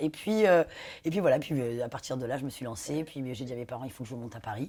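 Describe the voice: In a raspy, put-on character voice, the speaker rushes along at a very fast pace. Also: woman, very deep, low pitch for a woman.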